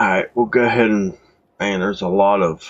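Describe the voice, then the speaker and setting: A man at a fairly quick pace and fairly low pitch. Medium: game stream.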